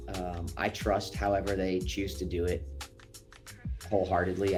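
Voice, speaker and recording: A man at a moderate pace with ordinary pitch variation, music playing in the background. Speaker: voice actor. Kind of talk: interview answer. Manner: casual, conversational.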